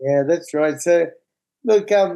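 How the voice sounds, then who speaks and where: The voice carries an Australian accent and a dark, mellow tone. Its pitch variation is ordinary. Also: man. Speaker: recovering addict and app founder. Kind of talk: podcast interview. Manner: animated.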